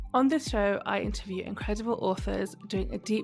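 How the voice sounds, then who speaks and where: At a moderate pace, the speech continues with music in the background. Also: woman. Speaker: podcast host. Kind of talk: podcast intro.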